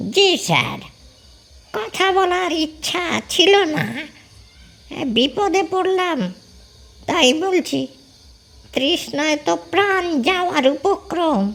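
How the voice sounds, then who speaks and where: A put-on character voice speaks at a high pitch. The pace is very slow. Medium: audio drama. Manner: addresses the man as sir, politely grumbling.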